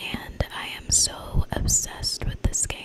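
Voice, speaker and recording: Background noise is clearly audible. Through it, a woman whispers somewhat slowly. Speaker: ASMR content creator. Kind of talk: ASMR gameplay showcase. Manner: soft-spoken, whispered.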